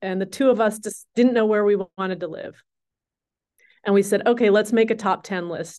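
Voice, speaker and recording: A woman speaks in a normal speaking voice with an American accent, at medium pitch and a moderate pace. Her intonation is fairly even, and the background is quiet. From US Midwest, Minnesota. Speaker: advertising agency CEO. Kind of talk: interview.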